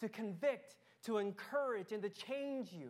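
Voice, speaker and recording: This is a woman's voice. Her pitch variation is ordinary. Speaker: pastor. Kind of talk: sermon. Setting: church.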